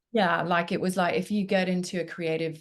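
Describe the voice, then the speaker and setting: Against a quiet background, a woman speaks in a flat monotone. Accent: Kenyan. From Kenya, Nairobi. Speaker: photographer. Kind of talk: interview. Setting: podcast. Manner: hesitant, many fillers.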